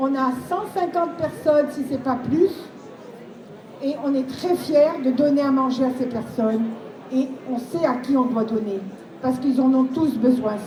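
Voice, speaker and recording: A woman speaks at a fairly slow pace in a high voice, with long, frequent pauses and ordinary pitch variation. The recording has audible room echo and noticeable background noise. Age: 70s. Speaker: charity volunteer. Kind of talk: testimony.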